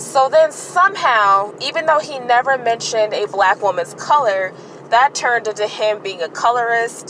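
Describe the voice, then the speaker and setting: A woman's fairly high voice with lively intonation at a moderate pace, over noticeable background noise. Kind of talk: casual commentary to camera. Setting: in a car. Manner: stuttering, hesitant.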